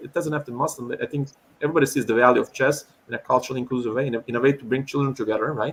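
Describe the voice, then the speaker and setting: A man's fairly high, somewhat breathy voice at a very fast pace, with fairly even intonation. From Turkey. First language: Turkish. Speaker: chess educator. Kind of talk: online talk Q&A.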